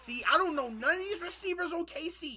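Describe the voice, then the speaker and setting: Over music in the background, a man projects a raised voice in an animated, playful tone. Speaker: YouTube reaction streamer. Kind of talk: live reaction to game highlights, casual chat with viewers. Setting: streaming, playing game highlights. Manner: animated, loud, hyped, talking back to the screen; playful, teasing, trash-talking. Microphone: headset.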